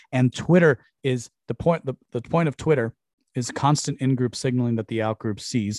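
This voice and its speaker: A man with an ordinary speaking voice talks at a medium pitch and a moderate pace, with fairly even intonation and a dry, close sound with no echo. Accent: American. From US, Cuban exile family. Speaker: podcast host. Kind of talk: casual monologue. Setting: live stream.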